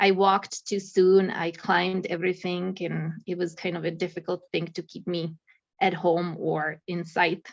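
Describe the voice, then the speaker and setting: Someone with a Czech accent talks at a moderate pace in a monotone, flat intonation. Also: woman, fairly low pitch for a woman. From Czech Republic. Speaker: accountant and mountaineer. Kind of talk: casual interview.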